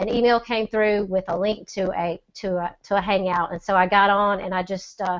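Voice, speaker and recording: A woman's medium-pitched voice in a Southern US accent, with fairly even intonation. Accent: Southern drawl. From US South, Mississippi. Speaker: online seller. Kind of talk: testimony. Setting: video call.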